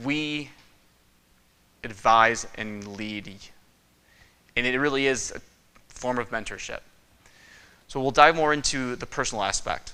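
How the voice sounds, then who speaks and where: A man's fairly slow voice at medium pitch, with a northern US accent, ordinary pitch variation, a bright, sharp tone and long, frequent pauses. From Michigan. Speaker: respiratory therapist. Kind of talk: conference presentation.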